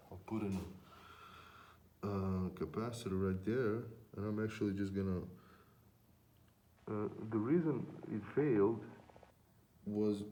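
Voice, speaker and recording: At a fairly slow pace, a man talks in a dark, mellow tone with a fairly low pitch, audible room echo around him. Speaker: electronics repair technician. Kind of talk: casual tutorial vlog. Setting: unheated workshop. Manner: hesitant, many fillers.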